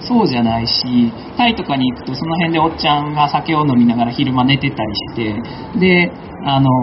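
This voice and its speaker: Noticeable background noise under fairly quick talk, its pitch varying in an ordinary way. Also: man, fairly high pitch for a man. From Kansai, Japan (Akashi, Hyogo). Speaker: environmental aid worker and community activist. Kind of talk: panel talk at a live event.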